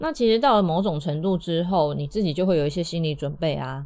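Here is a woman with a fairly low pitch and ordinary pitch variation. Her tone sounds dark and mellow. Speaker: podcast host. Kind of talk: casual monologue.

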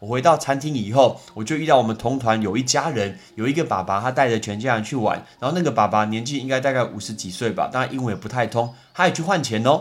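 An animated man talks very fast. He takes hardly any pauses. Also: medium pitch for a man, ordinary pitch variation. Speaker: podcast host, English teacher. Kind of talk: casual educational monologue.

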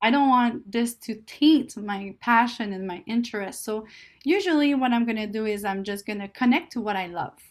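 With a French Canadian accent, a woman talks at a moderate pace with ordinary pitch variation on a very clean recording with a silent background. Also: fairly high pitch for a woman. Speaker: guest, Chinese learner and sociologist. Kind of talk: interview, casual conversation. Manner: laid-back, hesitant, often laughing.

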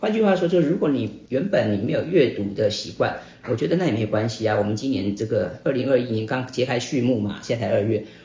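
Audible room echo colors this clip of a man at medium pitch. He talks at a very fast pace with lively intonation. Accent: Taiwanese. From Taiwan (Hsinchu, raised in Taipei). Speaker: book club host and author. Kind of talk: casual talk to a live audience. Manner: frequent filler particles.

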